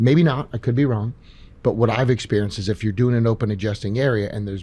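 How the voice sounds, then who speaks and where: A man's fairly low, dark, mellow voice, very fast, with ordinary pitch variation. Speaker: chiropractor and podcast host. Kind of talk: live Q&A. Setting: stage with live audience. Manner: quiet, low tone with patients.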